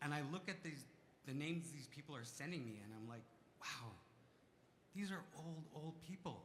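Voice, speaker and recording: Audible room echo surrounds a man's voice. He speaks with lively intonation at a fairly high pitch. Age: 40s. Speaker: community member speaking from the floor. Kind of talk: testimony. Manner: halting.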